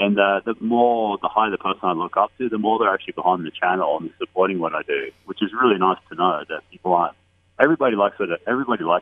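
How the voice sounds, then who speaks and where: Very fast speech from a man with an Australian accent and a fairly low pitch. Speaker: YouTube street interviewer. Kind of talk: radio interview.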